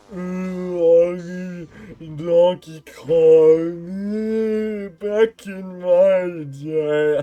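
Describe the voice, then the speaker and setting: At a middle pitch, the put-on character voice moves at a very slow pace with long, frequent pauses. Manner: groaning, dumb.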